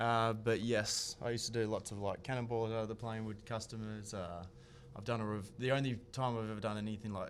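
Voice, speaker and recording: A man's medium-pitched, flat, monotone delivery at a fairly quick pace, with audible room echo. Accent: slight American. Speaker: skydiver and base jumper. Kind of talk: casual interview chat.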